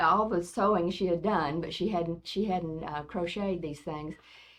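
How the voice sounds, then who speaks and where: The speaker has a Southern US accent, a moderate pace and ordinary pitch variation. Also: woman. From US South, rural West Tennessee. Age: 70s. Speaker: grandmother, oral history interviewee. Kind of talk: oral history interview. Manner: hesitant, many fillers.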